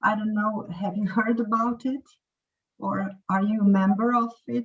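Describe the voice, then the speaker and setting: Her voice is somewhat breathy and fairly high in pitch. The woman talks at a fairly slow pace. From Croatia. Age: 40s. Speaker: English teacher. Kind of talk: casual chat.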